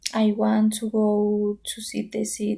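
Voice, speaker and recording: A woman's somewhat breathy, medium-pitched voice with a dark, mellow tone, at a very slow pace. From Colombia, Bogota. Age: 20s. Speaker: pharmacy student. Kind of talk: English practice monologue. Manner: halting.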